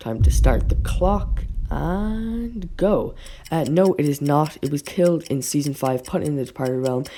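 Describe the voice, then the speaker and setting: A fairly slow pace marks the speech. Background music plays along. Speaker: YouTuber covering cartoon theories. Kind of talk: casual video commentary. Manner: animated.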